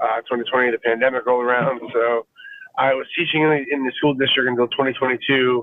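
At medium pitch, a man with an American accent talks fairly quickly in a monotone, flat intonation. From Fort Lauderdale, Florida. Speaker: musician and music educator. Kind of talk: casual interview. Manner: relaxed, casual.

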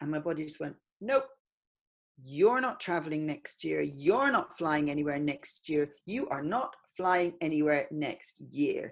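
The speaker goes at a fairly slow pace with lively intonation. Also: woman. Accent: Irish. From Ireland, countryside. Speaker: poet and artist. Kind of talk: casual interview chat.

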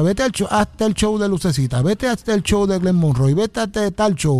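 This man's pitch is high. He moves along at a fairly quick pace with lively intonation. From Puerto Rico, Ponce. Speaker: trumpeter and arranger. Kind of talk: radio interview. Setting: radio studio.

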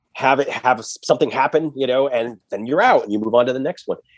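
Against a quiet background, an unremarkable speaking voice with an American accent moves at a fairly quick pace in a dry, close sound with no echo. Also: man. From US Northeast (Massachusetts). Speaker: screenwriter. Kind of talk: interview.

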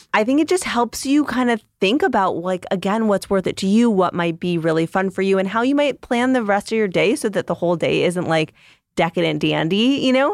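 A plain, everyday voice talks at a fairly quick pace with lively intonation. The sound is dry and close with no echo, on a very clean recording with a silent background. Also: woman. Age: 30s. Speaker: registered dietitian and nutritionist. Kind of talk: casual chat.

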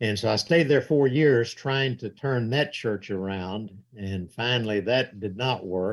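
Speaking with a Southern US accent at medium pitch, the man leaves hardly any pauses. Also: ordinary pitch variation, fairly slow pace. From US South. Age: 70s. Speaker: evangelist, church elder and author. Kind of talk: casual interview.

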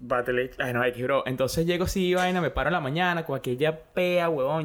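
Talking at a fairly quick pace, a man has an ordinary speaking voice, a fairly high pitch, and ordinary pitch variation. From Venezuela, Caracas. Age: 20s. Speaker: phone repair worker. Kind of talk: casual chat. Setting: home studio.

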